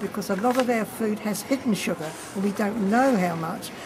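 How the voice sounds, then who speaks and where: Over noticeable background noise, a woman speaks at a moderate pace in a New Zealand accent. Her pitch is fairly high, with ordinary variation. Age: 80s+. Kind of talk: interview answer.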